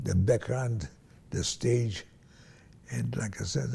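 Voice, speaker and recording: This man sounds somewhat breathy, with a dark, mellow tone. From Hungary/Romania (Transylvania). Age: 90s. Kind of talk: interview answer, recounting life story. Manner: slow, halting.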